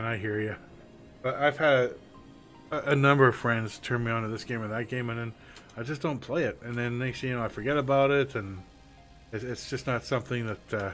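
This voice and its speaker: Over music in the background, a man with a Canadian accent talks with fairly even intonation and long, frequent pauses. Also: medium pitch for a man, fairly quick pace. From Canada. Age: 50s. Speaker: gamer streamer. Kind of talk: casual live-stream gameplay talk.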